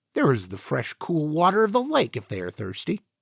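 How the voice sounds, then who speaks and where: A man's put-on character voice, fairly high in pitch, at a fairly quick pace with very wide pitch swings, in a very clean recording with a silent background and a dry, close sound with no echo. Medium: read story. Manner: bewildered, exclamatory.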